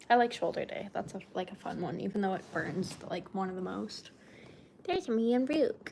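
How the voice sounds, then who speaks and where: Soft-spoken, a woman talks at a moderate pace. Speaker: lifestyle streamer. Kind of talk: casual live-stream chat.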